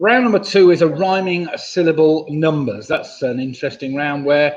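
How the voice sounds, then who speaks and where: A man with an English accent mumbles at a moderate pace. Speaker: quiz host. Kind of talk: live online quiz hosting. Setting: live stream from home computer. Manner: mumbling; casual, hesitant.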